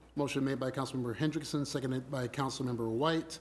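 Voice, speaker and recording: A man's voice with fairly even intonation over light background noise. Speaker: mayor chairing council meeting. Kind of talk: formal public meeting. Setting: city council chambers. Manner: formal. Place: hall.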